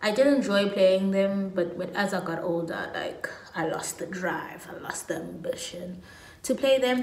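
Spoken in a South African accent at a moderate pace, the voice has ordinary pitch variation and big swings in loudness, with audible room echo. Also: woman. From South Africa, Pietermaritzburg, KwaZulu-Natal. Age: 20s. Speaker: lifestyle YouTuber. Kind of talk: casual vlog monologue. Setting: at home. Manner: animated. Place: home room. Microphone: phone near.

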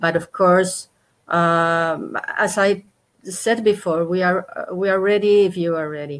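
Speaking with a Spanish accent, a woman keeps a fairly even intonation at a fairly slow pace. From Spain. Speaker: national tourist board official; panelist. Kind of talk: panel debate. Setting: video call. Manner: hesitant, many fillers. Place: home room.

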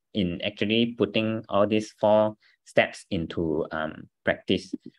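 Against a quiet background, a man talks at a fairly slow pace with a fairly low pitch. His pitch varies in an ordinary way. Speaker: business team trainer. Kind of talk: training talk. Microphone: video call.

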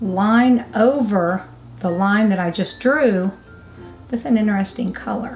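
Faint music plays in the background while the voice shows ordinary pitch variation. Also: woman. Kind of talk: casual tutorial chat. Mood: cheerful, playful. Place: home room. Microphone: camera far.

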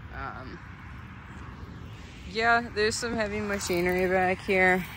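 A man speaks at a moderate pace with ordinary pitch variation, the sound dry with no echo amid noticeable background noise. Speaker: explorer vlogger. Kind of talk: casual vlog chat. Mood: curious, slightly uneasy. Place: open country. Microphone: phone near.

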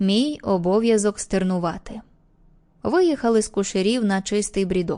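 This woman's voice sits at a medium pitch with a dark, mellow tone. She speaks at a very slow pace. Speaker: audiobook narrator. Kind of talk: audiobook reading of an old fisherman telling a story, in character.

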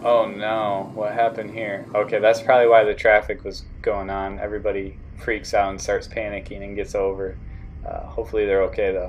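Light background noise sits behind a man who talks at a fairly quick pace with big swings in loudness. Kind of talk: casual vlog chat. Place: car. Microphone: phone near.

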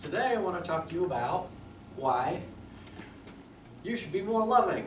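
A man talks at a moderate pace with ordinary pitch variation. Audible room echo and light background noise are present. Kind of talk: persuasive class speech. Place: classroom. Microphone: camera far.

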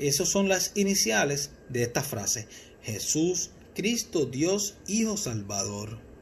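A somewhat breathy man at a very slow pace, with very wide pitch swings over light background noise. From Puerto Rico, Mayagüez; Puerto Rico. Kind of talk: religious teaching talk. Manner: halting, repeats words. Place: home room. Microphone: phone near.

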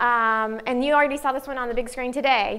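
A raised, projected voice with a Southern US accent rings out in a bright, sharp tone. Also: woman. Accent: noticeable Southern US. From US South, Arkansas. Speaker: psychology professor; psychology professor presenting. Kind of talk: conference talk. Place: meeting room. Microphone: lapel.

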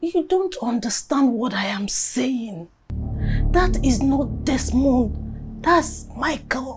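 A woman does a put-on character voice at a slow pace, high in pitch with a husky, rough edge and lively intonation, as faint music plays in the background.

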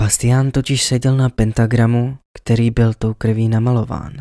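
A man speaks in a dramatic tone at medium pitch, with a dark, mellow quality. His intonation stays monotone and flat, and the sound is dry and close with no echo. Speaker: storyteller. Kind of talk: creepypasta horror story narration, first-person. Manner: suspenseful, hushed, slowly building dread; dramatic, emotional, fearful tone at climactic moments.

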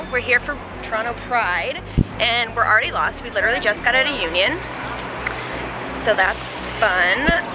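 Music plays in the background as the voice moves at a moderate pace, the sound dry with no echo. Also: woman. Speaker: vlogger. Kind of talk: casual vlog chat. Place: street. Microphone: phone near.

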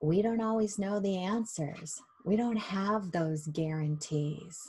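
Soft-spoken and somewhat breathy, a woman talks in a gentle, warm, dark and mellow tone with ordinary pitch variation. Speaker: hypnosis guide leading a meditation. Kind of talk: guided meditation and self-hypnosis session. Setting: online video session. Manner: gentle, warm, reassuring. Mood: calm, soothing, slow. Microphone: webcam.

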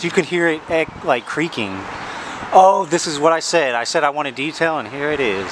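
Background noise is noticeable. The man talks at a moderate pace. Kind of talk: casual vlog chat. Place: street. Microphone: phone near.

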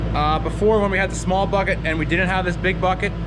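A man talks fairly quickly while loud noise fills the background. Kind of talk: casual vlog chat. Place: farm machine. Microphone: phone near.

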